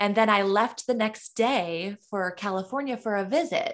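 A woman's unremarkable speaking voice with an American accent, medium pitch, and ordinary pitch variation. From Michigan. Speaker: singer-songwriter. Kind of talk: interview.

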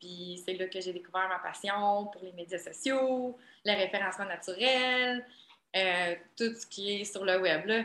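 The voice has a bright, sharp tone, moving at a fairly slow pace with ordinary pitch variation and big swings in loudness. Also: woman, medium pitch for a woman. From Quebec, Trois-Rivières. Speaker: web strategist and college teacher. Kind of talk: casual interview.

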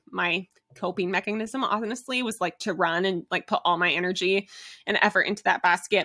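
A woman speaks at a moderate pace in a medium pitch, with ordinary pitch variation and a bright, sharp tone. The very clean recording has a silent background and a dry, close sound with no echo. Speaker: podcast host and elite marathon runner. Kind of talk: solo podcast monologue.

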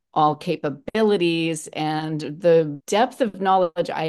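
Against a quiet background, a woman talks in a normal speaking voice at a fairly low pitch and a fairly slow pace, with ordinary pitch variation. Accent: American. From Los Angeles. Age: 60s. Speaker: fitness and health coach, former actress. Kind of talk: casual interview chat.

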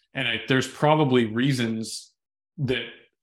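An ordinary speaking voice from a man with a Canadian accent, medium in pitch, with ordinary pitch variation. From Red Deer, Alberta, Canada. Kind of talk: podcast interview, casual chat.

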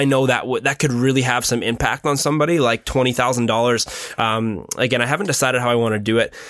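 With noticeable background noise behind him, a man talks at a very fast pace and a medium pitch, with hardly any pauses, very even loudness and fairly even intonation. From Ontario, Canada. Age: 20s. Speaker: photographer and filmmaker. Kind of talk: casual chat.

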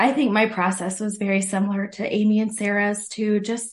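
In an American accent, a woman speaks at a moderate pace in a medium-pitched, somewhat breathy voice against a quiet background. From Ohio. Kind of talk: casual chat.

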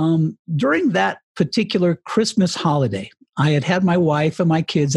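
A man speaks at a moderate pace in a somewhat breathy voice, recorded with a dry, close sound and no echo. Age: 60s. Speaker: retired radio broadcaster and author. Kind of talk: interview.

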